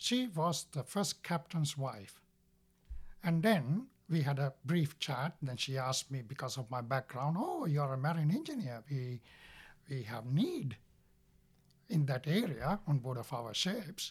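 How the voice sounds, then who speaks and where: The voice is somewhat breathy, at a fairly slow pace with lively intonation. The recording is very clean, with a silent background. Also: man, fairly high pitch for a man. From Sri Lanka. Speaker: marine operations superintendent at a hospital ship charity. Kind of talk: testimony. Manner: halting.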